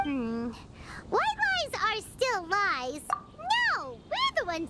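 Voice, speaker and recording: A woman's put-on character voice, squeaky and extremely high, with very wide pitch swings and a fairly slow pace, over loud background noise. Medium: video game. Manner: friendly, sincere.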